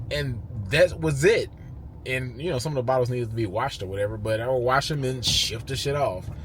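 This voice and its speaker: A man speaks with audible echo in the room. Noticeable background noise runs underneath. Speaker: YouTuber, entrepreneur. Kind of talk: casual talking-head monologue.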